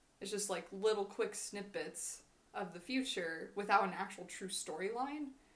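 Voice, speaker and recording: With an American accent, a woman has an ordinary speaking voice, a moderate pace and ordinary pitch variation. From Washington state, US. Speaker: podcast co-host, grad student. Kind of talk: scripted reading of prepared topic; casual chat.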